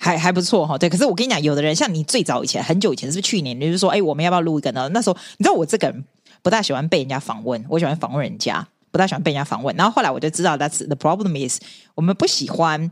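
In a strong Taiwanese accent, a woman with a fairly low pitch talks very fast with lively intonation on a very clean recording with a silent background. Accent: strong Taiwanese Mandarin. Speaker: podcaster and teacher. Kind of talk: casual chat.

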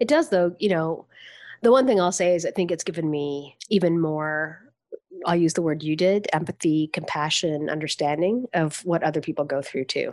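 In an ordinary speaking voice, a woman with a Canadian accent talks at a moderate pace and a fairly low pitch, with ordinary pitch variation. The recording is very clean, with a silent background. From Canada. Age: 50s. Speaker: nonprofit executive. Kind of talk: casual chat.

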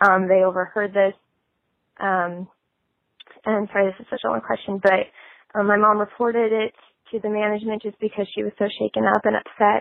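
Fairly quick, flat, monotone delivery with an American accent, long, frequent pauses and big swings in loudness. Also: woman, medium pitch for a woman. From Nebraska. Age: 20s. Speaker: caller. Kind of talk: voice message.

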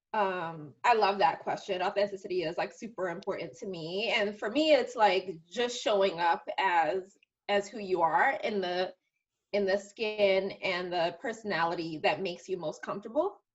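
A woman with a slight New York accent speaks at a moderate pace and medium pitch, with ordinary pitch variation. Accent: New York, slight, polished diction. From Bronx, New York. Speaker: marketing executive. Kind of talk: casual interview chat. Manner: articulate, conversational.

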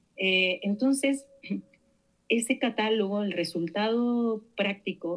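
Her intonation is lively as this woman speaks. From Argentina, Santa Fe province. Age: 50s. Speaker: researcher and academic. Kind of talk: interview.

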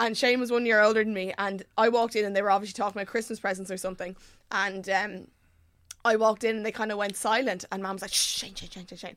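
A woman talks very fast in an animated tone at a medium pitch, her loudness swinging widely. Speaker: podcast co-host. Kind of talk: scripted intro then casual chat. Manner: animated, chatty.

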